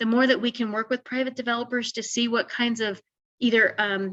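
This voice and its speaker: Fairly high-pitched female speech, intonation fairly even throughout. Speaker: housing consultant. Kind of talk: webinar presentation. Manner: fast.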